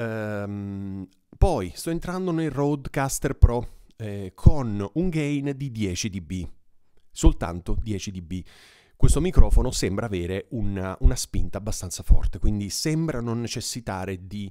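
Speaking at a very slow pace, a man uses a fairly low pitch and a dark, mellow tone. His intonation is lively, and the background is quiet. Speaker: mic reviewer. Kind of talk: tutorial. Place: studio.

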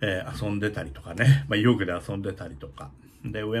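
Light background noise sits behind a man who speaks at a fairly low pitch and a moderate pace with lively intonation. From Japan, Kagoshima (Kanoya); Japan. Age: 60s. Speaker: opera stage director. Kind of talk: casual monologue vlog. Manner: hesitant, many fillers. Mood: nostalgic, warm. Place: home room. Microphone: phone near.

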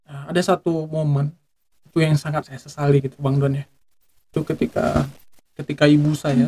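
A man with a fairly high, somewhat breathy voice and a dark, mellow tone speaks at a fairly quick pace in a monotone, flat intonation. His loudness swings widely, and he takes long, frequent pauses. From Aceh, Indonesia. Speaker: Quran school alumnus; podcast guest. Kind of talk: casual interview. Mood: reflective, earnest storytelling. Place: studio. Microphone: studio mic.

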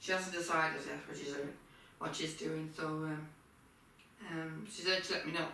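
In a room with strong echo, a woman speaks at a low pitch and moderate pace, her tone bright and sharp, her intonation fairly even.

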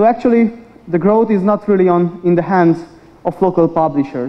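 The man talks in a high pitch, and his pitch varies in an ordinary way. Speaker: media research industry manager. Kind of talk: conference presentation. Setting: stage with audience. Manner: fast talker. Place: hall.

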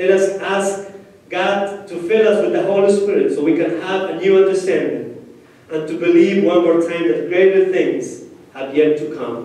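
A man with a high-pitched voice talks at a moderate pace. Strong room echo surrounds the sound. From Peru, Ayacucho region. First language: Spanish. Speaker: pastor. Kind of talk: sermon. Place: church.

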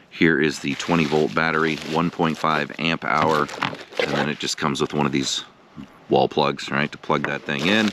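Over noticeable background noise, a man speaks at a fairly slow pace in a dry sound with no echo. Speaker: product reviewer. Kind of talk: casual product review. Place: open country. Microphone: phone near.

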